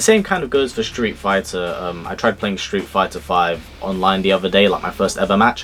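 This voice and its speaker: Over music in the background, a man with a British accent speaks at a fairly quick pace and a fairly low pitch, with fairly even intonation and hardly any pauses. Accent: British, sometimes mistaken for Australian. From UK. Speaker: YouTuber. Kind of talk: casual Q&A. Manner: casual, with filler words.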